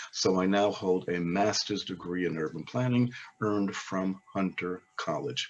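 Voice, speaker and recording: The speaker has an American accent and moves at a fairly slow pace with ordinary pitch variation. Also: man, very deep, low pitch for a man. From New York, Brooklyn (Crown Heights). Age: 70s. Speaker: oral history interviewee. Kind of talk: interview. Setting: webinar.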